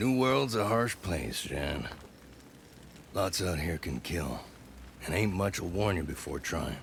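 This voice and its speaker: Putting on a gruff character voice with a very deep, low pitch, a man drawls at a fairly slow pace with very wide pitch swings and long, frequent pauses over clear background noise. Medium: video game. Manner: gruff, drawling colloquial.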